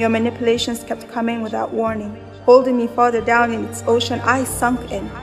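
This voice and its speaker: Speech moves at a fairly quick pace. Music plays in the background. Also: woman. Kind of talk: spoken word poetry.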